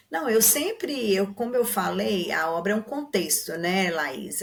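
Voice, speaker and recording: Somewhat breathy, a woman talks in a medium pitch. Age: 60s. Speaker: literature commentator guest. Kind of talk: podcast discussion.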